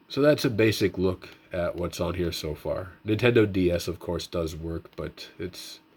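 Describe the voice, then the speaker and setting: A man's very deep, low, somewhat breathy voice with ordinary pitch variation and hardly any pauses, on a very clean recording with a silent background. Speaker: tech youtuber, retro handheld firmware developer. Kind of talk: casual tutorial and update. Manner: fast.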